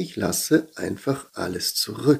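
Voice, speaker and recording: Over a very clean recording with a silent background, a man speaks in a dark, mellow tone that is calm and gentle. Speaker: pastor. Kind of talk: guided meditation. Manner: slow, calm, gentle; meditative, with pauses.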